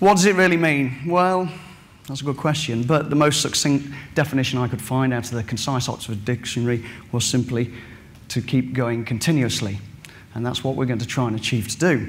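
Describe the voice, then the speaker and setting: A man with an English Midlands accent speaks at a medium pitch and a fairly quick pace. His pitch varies in an ordinary way, and there is audible room echo. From England, Derbyshire. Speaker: farmer and farming scholar. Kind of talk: conference presentation. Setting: stage with audience. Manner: fast.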